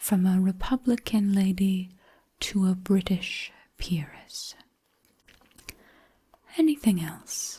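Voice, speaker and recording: Soft-spoken and somewhat breathy, a woman of medium pitch talks at a very slow pace with long, frequent pauses. Her tone is dark, mellow and gentle, with ordinary pitch variation. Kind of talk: sleep story audiobook narration. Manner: soft-spoken, gentle, slow.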